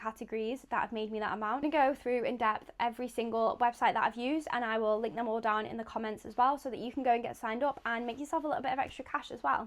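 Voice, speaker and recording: A woman with a British accent, high-pitched and very fast, over a quiet background. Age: 20s. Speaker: vlogger, stay-at-home mum. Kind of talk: casual talking-to-camera vlog.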